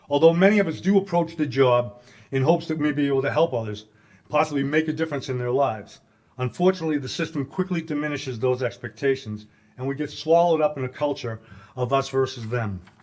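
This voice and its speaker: Talking at a very fast pace, a man with a Massachusetts accent has a fairly high pitch. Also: ordinary pitch variation. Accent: Massachusetts accent, non-rhotic. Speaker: corrections advocate, former correctional officer. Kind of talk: conference speech.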